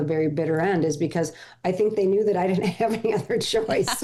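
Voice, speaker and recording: With a plain, everyday voice, a woman talks fairly quickly at medium pitch. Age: 60s. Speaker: former home shopping host, menopause coach. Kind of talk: casual chat.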